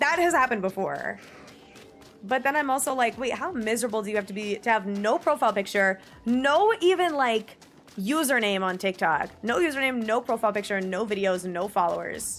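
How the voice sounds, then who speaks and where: The speaker sounds animated, with lively, bouncing intonation at a fairly quick pace. Noticeable background noise runs underneath. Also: woman, fairly high pitch for a woman. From New Jersey, US. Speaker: streamer. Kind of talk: casual chat. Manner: loud.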